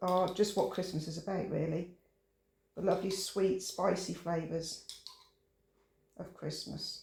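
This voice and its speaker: The voice is monotone with flat intonation, at a fairly slow pace with long, frequent pauses. Audible room echo surrounds it. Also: man, high pitch for a man. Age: 60s. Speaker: home cooking channel host. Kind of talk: cooking tutorial. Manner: relaxed, chatty.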